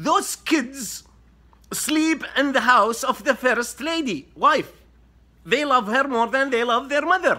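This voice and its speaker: A man with an Arabic accent uses a raised, projected voice at an extremely high pitch, with a bright, sharp tone. The recording is very clean, with a silent background. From Saudi Arabia. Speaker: social media commentator. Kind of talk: explainer monologue to camera.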